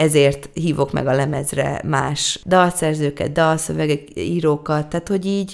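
Her voice sits very deep and low, rising and falling in an ordinary way. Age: 30s. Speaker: singer-songwriter. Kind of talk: interview.

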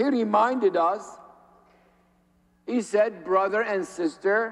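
A man talking at a very slow pace against a quiet background. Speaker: priest. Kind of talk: sermon. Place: church.

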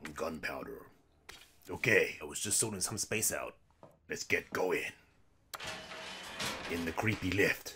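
Using a cartoonish character voice, a man speaks at a moderate pace. Long, frequent pauses break up his delivery. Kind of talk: lets-play commentary. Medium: puppet show. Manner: chirpy, excitable, jokey.

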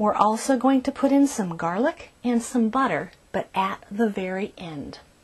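The woman here talks with a high pitch. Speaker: cooking show host. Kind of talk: tutorial. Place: kitchen. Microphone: lapel.

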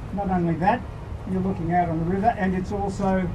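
A man's high-pitched voice over noticeable background noise. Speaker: rally speaker. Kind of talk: rally speech. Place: stage. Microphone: camera far.

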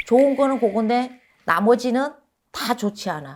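A woman speaks at a very slow pace. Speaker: fortune teller / shaman. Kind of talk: fortune-telling talk. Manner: hesitant, many fillers.

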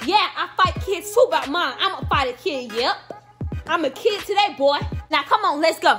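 Against clear music in the background, a woman speaks at a moderate pace in an extremely high pitch. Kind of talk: comedic skit scolding. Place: home room. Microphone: phone near.

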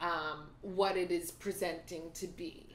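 Very slow speech from a woman at a fairly low pitch, with audible room echo and light background noise. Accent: American. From United States. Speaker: co-host of a TV recap show; co-host. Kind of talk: casual chat. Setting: home, on a couch. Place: home room.

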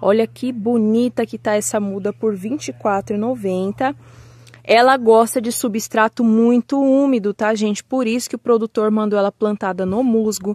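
With a Brazilian accent and an upbeat tone, the speaker goes at a fairly slow pace in a dry sound with no echo against a quiet background. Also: woman, fairly high pitch for a woman. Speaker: orchid seller. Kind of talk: sales pitch, showing and pricing each plant in an order. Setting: video, holding plants up to the camera. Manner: urgent, upbeat pitchman patter, pushing listeners to buy now; chatty and friendly, addressing viewers as 'gente'. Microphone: phone near.

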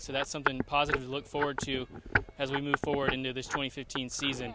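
A man talks at a very fast pace with a dry sound and no echo. Loud background noise is present. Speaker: sports reporter. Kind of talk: sports recap report. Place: stadium.

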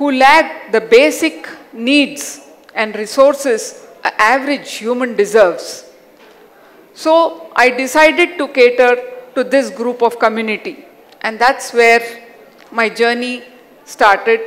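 A woman with a Hyderabadi accent, high-pitched, with ordinary pitch variation and long, frequent pauses. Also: fairly slow pace. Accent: Indian English (Hyderabadi). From Hyderabad, India. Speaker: educator and self-awareness coach. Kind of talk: personal life story talk. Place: stage. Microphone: headset.

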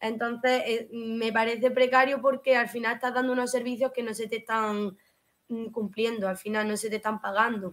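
At a moderate pace, a woman speaks in a monotone with flat intonation. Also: fairly high pitch for a woman. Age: 20s. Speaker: hairdresser; interview guest. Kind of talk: interview. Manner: halting. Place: home room.

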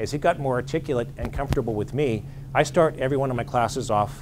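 This man speaks with an American accent and ordinary pitch variation. Noticeable background noise runs under his voice. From western Pennsylvania. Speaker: psychologist and ordained clergyman; presenter. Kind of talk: lecture. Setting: stage with audience. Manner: fast talker. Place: meeting room.

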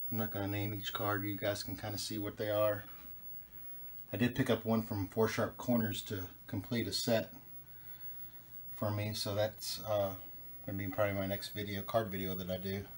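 Amid light background noise, a man with a fairly low pitch and a somewhat breathy voice speaks at a moderate pace in a monotone, flat intonation, with long, frequent pauses. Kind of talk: casual vlog chat. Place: home room. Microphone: phone near.

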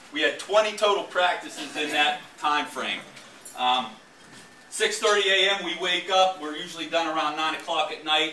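In a room with audible echo and light background noise, a man with a high pitch and ordinary pitch variation speaks at a fairly slow pace. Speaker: football coach presenting. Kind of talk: presentation talk to audience. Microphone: camera far.

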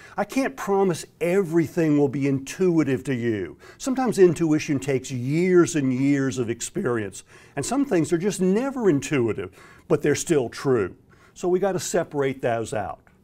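A man with an American accent, a fairly high pitch and a dark, mellow tone, at a moderate pace with very wide pitch swings. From US South, Florida. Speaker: exam prep instructor. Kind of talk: direct-to-camera introduction. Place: studio. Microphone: lapel.

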